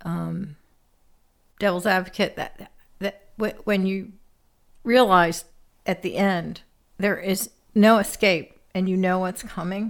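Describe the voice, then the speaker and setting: A woman speaks at a very slow pace with long, frequent pauses. Her medium-pitched voice stays monotone and flat. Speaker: co-host, mother of the host. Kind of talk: casual chat about movies. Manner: shy, introverted.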